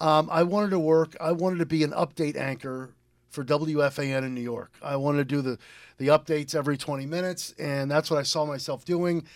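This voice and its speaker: In a very clean recording with a silent background, a man with an American accent speaks fairly quickly in a plain, everyday voice, his fairly high pitch held to fairly even intonation. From eastern Connecticut, US. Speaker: radio DJ. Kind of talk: casual radio interview.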